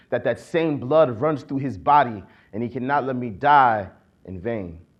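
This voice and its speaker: A man speaks with an American accent at medium pitch, an unremarkable speaking voice. His pitch varies in an ordinary way at a moderate pace. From Akron, Ohio. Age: 20s. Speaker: poet-activist. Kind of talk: spoken-word poetry performance. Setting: conference stage.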